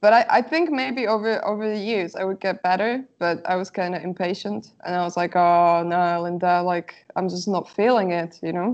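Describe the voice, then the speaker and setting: Speaking at a moderate pace with hardly any pauses, a woman uses a medium pitch and ordinary pitch variation. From Slovakia. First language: Slovak. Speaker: artist. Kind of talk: interview.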